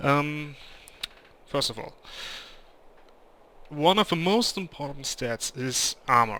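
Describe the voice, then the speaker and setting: A man with a German accent speaks at a very slow pace in a fairly high pitch. His tone is bright and sharp, with big swings in loudness. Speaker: gaming video creator. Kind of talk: gameplay commentary. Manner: halting, many fillers.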